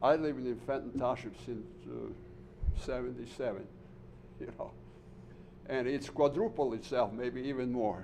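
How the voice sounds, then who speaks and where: Vocal fry colors a man's voice at a fairly slow pace, with audible room echo around him. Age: 70s. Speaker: resident speaking at public comment. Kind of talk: public comment at town meeting. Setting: township board meeting room.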